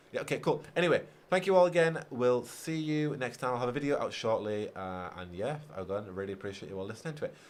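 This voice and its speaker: A man with a British accent talks at a very fast pace, his medium pitch swinging very widely. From Britain. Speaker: gaming YouTuber. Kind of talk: livestream chat reading viewer comments.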